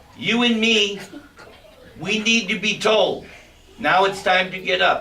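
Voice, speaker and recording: A man speaks very slowly in a raised, projected voice with ordinary pitch variation. Audible room echo and noticeable background noise surround him. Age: 60s. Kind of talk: spiritual lecture.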